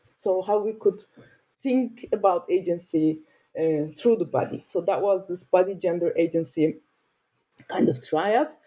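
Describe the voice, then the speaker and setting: A woman with a Turkish accent speaks at a medium pitch in a dark, mellow tone. Her intonation is lively, her pace fairly slow, and her pauses long and frequent. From Turkey, Mediterranean region. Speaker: sociologist and author. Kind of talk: interview. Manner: halting, with many fillers.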